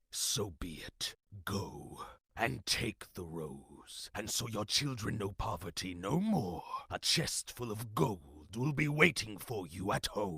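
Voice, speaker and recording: Using a put-on character voice, a man growls at a fairly low pitch and a fairly slow pace, his pitch swinging very widely. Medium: cartoon. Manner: growling.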